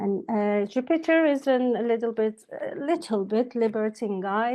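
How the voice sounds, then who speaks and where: A woman talks at a very slow pace. She has a Turkish accent. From Turkey. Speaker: astrologer. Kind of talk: lecture. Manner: halting, many fillers.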